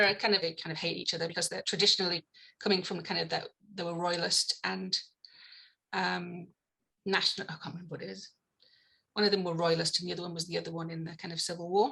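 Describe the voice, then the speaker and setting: Very fast speech comes from a woman with a fairly low voice, a bright, sharp tone and vocal fry. Her intonation is monotone and flat, broken by long, frequent pauses. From northeast England, County Durham. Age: 50s. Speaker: evolutionary theory scholar and comedian. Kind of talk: podcast interview conversation. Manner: hesitant, many fillers and restarts.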